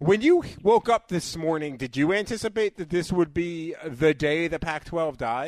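A man with a high pitch and hardly any pauses. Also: ordinary pitch variation, moderate pace, quiet background. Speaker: radio host. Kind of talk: casual sports talk radio. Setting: radio studio.

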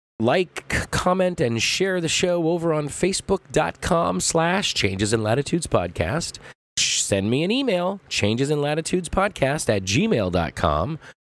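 With an American accent, a man speaks in a fairly high voice with very wide pitch swings. His pace is fairly slow, with hardly any pauses and very even loudness. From Southern California. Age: 40s. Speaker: podcast host. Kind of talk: podcast monologue.

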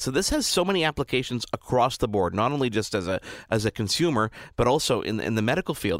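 Very fast and full of lively intonation, a man talks at a medium pitch on a very clean recording with a silent background. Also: dry, close sound with no echo. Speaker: tech commentator. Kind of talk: radio interview. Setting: radio studio.

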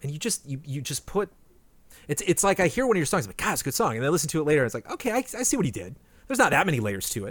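In a very clean recording with a silent background, a man talks very fast at a fairly high pitch, with vocal fry and very wide pitch swings. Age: 40s. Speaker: podcast host. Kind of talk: casual chat.

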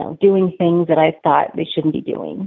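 A woman's fairly low-pitched voice with fairly even intonation. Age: 40s. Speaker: church member sharing her story. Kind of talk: testimony.

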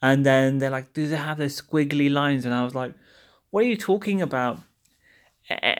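A man with a British accent talks at medium pitch. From London. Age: 30s. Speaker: podcast host. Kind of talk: casual monologue. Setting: recording in a service station. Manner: chatty, humorous, self-deprecating.

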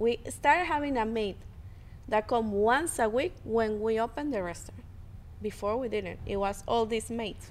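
A woman's fairly high voice in a Spanish accent, at a moderate pace with ordinary pitch variation. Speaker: podcast co-host. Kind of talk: casual chat between couple, podcast.

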